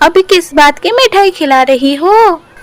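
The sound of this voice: A woman does a cartoonish character voice that is squeaky and extremely high-pitched, speaking at a moderate pace.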